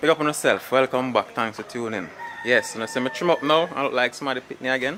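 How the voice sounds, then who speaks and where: A man with a Jamaican accent and a fairly high pitch talks very fast over noticeable background noise. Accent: Jamaican Patois-accented English. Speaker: behind-the-scenes interviewer for a film channel. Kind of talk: casual interview.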